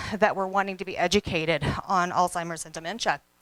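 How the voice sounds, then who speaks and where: A loud woman's voice at a very fast pace and medium pitch, bright and sharp in tone, with a dry, close sound and no echo. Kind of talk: motivational talk. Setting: stage with audience. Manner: energetic.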